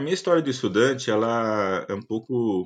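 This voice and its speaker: Medium-pitched male voice against a quiet background. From Paraná, Brazil (Curitiba metropolitan region). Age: 50s. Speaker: university professor and agronomist. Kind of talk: interview testimony. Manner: halting, many fillers.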